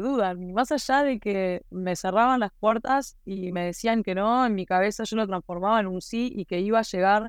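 A woman with an ordinary speaking voice talks at a moderate pace against a quiet background. Her fairly high pitch carries lively intonation. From Uruguay, Maldonado. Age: 30s. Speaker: rally driver. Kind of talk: interview.

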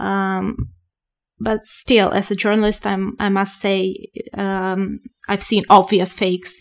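At a very slow pace, a woman speaks in a medium pitch with monotone, flat intonation, in a very clean recording with a silent background. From Moldova. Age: 20s. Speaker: journalist. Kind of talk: interview.

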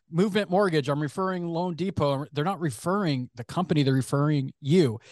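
Very fast speech with an American accent and lively intonation, in a dry, close sound with no echo over a quiet background. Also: man. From US West Coast, San Francisco Bay Area. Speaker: marketing executive. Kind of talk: casual interview.

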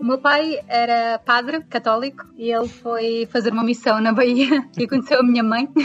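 Over music in the background, a woman with a high pitch speaks in a European Portuguese accent at a moderate pace, with monotone, flat intonation and hardly any pauses. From Portugal. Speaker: guest living abroad. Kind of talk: casual interview.

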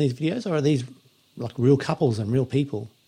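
A somewhat breathy man at a very fast pace, fairly high-pitched, with a dark, mellow tone and a quiet background. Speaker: podcast host. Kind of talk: casual interview.

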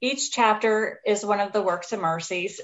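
A woman's fairly high voice at a fairly slow pace, with ordinary pitch variation and a normal speaking voice. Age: 40s. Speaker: author. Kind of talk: interview.

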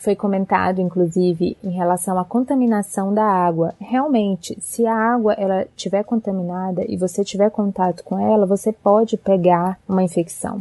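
Speaking at a moderate pace with hardly any pauses, a woman has a medium pitch, a dark, mellow tone and fairly even intonation, in a dry, close sound with no echo. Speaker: doctor and travel blogger. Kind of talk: recorded advice segment.

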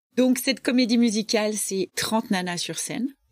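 A woman at a moderate pace. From rural France. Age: 50s. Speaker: charity president. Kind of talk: interview. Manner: animated.

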